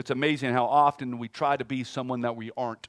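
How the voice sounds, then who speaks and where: A man with an American accent talks at a fairly quick pace, his pitch medium and his intonation fairly even. The sound is dry and close with no echo, on a very clean recording over a silent background. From California. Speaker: guest pastor. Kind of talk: sermon. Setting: church. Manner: fast.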